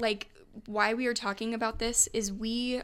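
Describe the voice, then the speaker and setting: In a Midwestern American accent, a woman speaks at a moderate pace with monotone, flat intonation on a very clean recording with a silent background. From Nebraska. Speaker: podcast co-host. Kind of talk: casual chat. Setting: studio.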